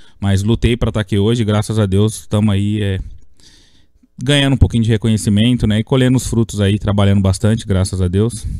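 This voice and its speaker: A man talks very fast in a fairly low voice with a dark, mellow tone. His intonation stays fairly even over a quiet background. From Brazil, interior of São Paulo state. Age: 30s. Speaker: youth futsal coach. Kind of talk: interview. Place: studio. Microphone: studio mic.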